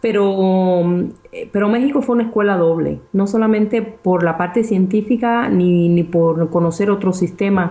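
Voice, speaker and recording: An ordinary speaking voice from a woman of medium pitch, at a fairly slow pace with ordinary pitch variation. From Cuba. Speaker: research scientist and property investor. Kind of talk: interview.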